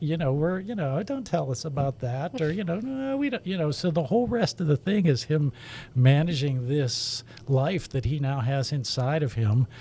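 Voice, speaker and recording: A man with an unremarkable speaking voice, fairly high in pitch, with lively intonation. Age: 60s. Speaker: children's book illustrator. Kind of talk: podcast interview.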